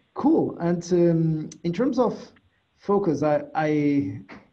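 A man's somewhat breathy voice. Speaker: podcast host. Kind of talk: interview.

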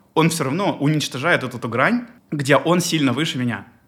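The man's pitch sits fairly high. He talks at a very fast pace. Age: 20s. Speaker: airline pilot and podcast host. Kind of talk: casual interview chat.

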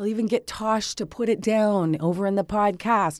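In an ordinary speaking voice, a woman with a fairly high pitch talks at a moderate pace on a very clean recording with a silent background. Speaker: podcast host and business strategist. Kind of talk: casual interview chat.

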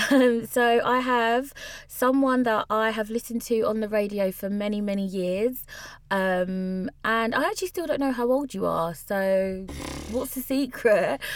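Noticeable background noise is present. Over it, a woman speaks with a fairly high pitch. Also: ordinary pitch variation, fairly slow pace. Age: 20s. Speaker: podcast host. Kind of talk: casual chat.

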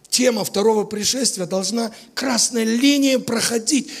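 Noticeable background noise surrounds a man with an extremely high pitch. He speaks fairly slowly with fairly even intonation. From Latvia, Riga. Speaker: visiting preacher. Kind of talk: sermon.

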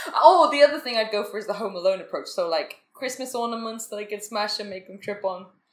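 A woman speaks at a very fast pace, her pitch fairly high with ordinary variation. Her loudness swings widely, and there are hardly any pauses. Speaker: podcast co-host. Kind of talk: casual chat over drinks. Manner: soft-spoken, hard to hear.

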